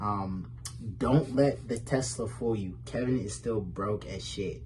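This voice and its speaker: A man's fairly low, vocal-fry voice at a very slow pace, with very wide pitch swings and audible room echo. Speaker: comedy roast participant. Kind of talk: roast jokes in recorded video. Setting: pre-recorded video. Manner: halting, fumbling words.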